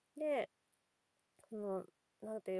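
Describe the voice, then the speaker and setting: Speaking at a moderate pace, a woman with a fairly high pitch uses lively intonation, and the sound is dry and close with no echo. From Nagasaki, Japan (fishing town). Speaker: podcast host, kindergarten staff, mother. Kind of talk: casual monologue. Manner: halting, many fillers.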